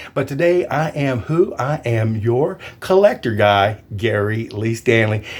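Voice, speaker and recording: A man's voice at a medium pitch. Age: 60s. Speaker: YouTuber and realtor. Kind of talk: casual vlog talk. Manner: enthusiastic.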